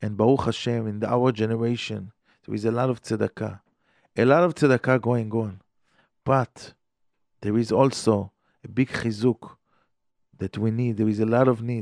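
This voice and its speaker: Pausing long and often, a man speaks with an Israeli accent and fairly even intonation, the sound dry and close with no echo. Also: medium pitch for a man, moderate pace. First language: Hebrew. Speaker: rabbi teaching on radio. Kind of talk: Torah lecture. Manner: halting.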